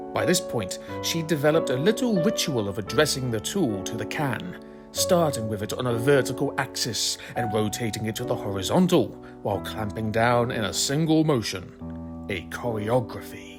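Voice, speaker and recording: With music in the background, a man talks at a moderate pace with hardly any pauses, his pitch swinging very widely. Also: medium pitch for a man. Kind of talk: dramatic reading of a social media thread.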